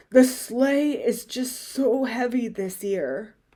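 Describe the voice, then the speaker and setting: Very slowly and at a high pitch, a woman puts on a character voice. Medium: read story.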